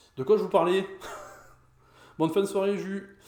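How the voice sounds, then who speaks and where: Room echo is clearly audible while the talking moves along at a moderate speed. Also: man. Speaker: pinball streamer. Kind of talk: live stream gameplay commentary. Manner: halting, many fillers.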